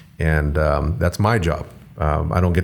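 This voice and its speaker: Noticeable background noise sits behind the speaker. He is a man with a very deep, low pitch. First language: Spanish. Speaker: police chief. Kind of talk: casual chat.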